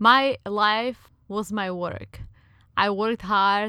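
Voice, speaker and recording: Bright, sharp tone from a woman with a Czech accent, fairly high in pitch with fairly even intonation, in a very clean recording with a silent background. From Czech Republic. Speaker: podcast co-host. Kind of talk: casual chat.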